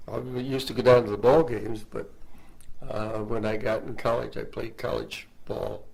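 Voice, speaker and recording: Male speech in an American accent, moderately paced, with room echo clearly audible. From New York State (Mount Kisco). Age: 80s+. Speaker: retired broadcast engineer. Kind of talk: interview. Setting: studio.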